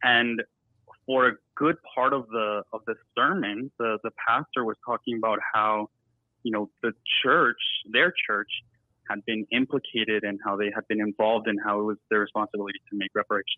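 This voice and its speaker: A man at a moderate pace and medium pitch. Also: fairly even intonation. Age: 20s. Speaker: caller. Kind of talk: call-in comment. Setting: phone call. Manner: halting. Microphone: very quiet, distant phone line.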